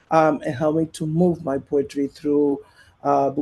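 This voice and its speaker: With a Spanish accent, a man talks at a fairly high pitch in a dark, mellow tone. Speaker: poet. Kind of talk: panel discussion. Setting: live-streamed festival panel. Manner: halting, many fillers.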